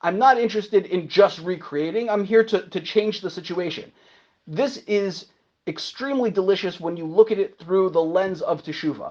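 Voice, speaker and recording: A man with a high pitch talks at a fairly quick pace with ordinary pitch variation. His tone is animated. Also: quiet background. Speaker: Torah teacher leading a class. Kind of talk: lecture with group discussion. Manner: loud.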